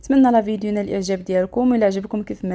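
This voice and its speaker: A dark, mellow tone with a Moroccan accent and ordinary pitch variation. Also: woman. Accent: Moroccan Arabic (Darija). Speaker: cooking channel host. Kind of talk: cooking tutorial.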